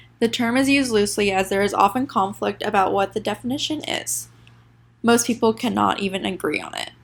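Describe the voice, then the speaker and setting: A woman talks at a fairly quick pace in a medium-pitched voice with vocal fry. Her pitch varies in an ordinary way. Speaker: student. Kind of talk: class presentation.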